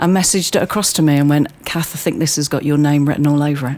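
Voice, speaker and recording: Against noticeable background noise, a woman speaks at a very deep, low pitch with fairly even intonation. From Birmingham, England. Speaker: community centre manager. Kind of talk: casual interview chat.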